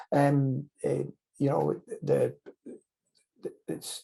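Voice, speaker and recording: A man speaks with a Scottish accent. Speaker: anesthesiologist interviewer. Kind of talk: interview. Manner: repeats words often.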